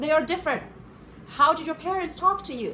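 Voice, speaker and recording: Noticeable background noise sits under the recording. Through it, a woman speaks with a Chinese accent. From China. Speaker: playwright, screenwriter and essayist. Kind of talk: casual talk to camera.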